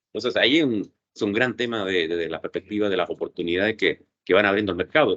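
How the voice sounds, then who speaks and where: The man's intonation is lively. He speaks at a fairly quick speed. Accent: Chilean. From Chile. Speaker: lawyer and cybersecurity expert. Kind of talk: interview. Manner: fast.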